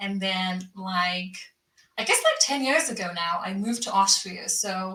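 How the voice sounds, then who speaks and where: The speaker talks at a fairly slow pace with ordinary pitch variation, and audible room echo surrounds the voice. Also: woman, medium pitch for a woman. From UK (born in Zimbabwe). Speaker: tech founder and CEO. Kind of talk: casual interview. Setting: live stream video call.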